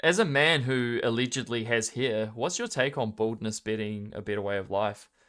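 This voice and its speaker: A man speaks at a moderate pace with a New Zealand accent and hardly any pauses. His pitch is medium, with ordinary variation. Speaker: esports tournament caster. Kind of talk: live game commentary and casual chat. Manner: casual, joking.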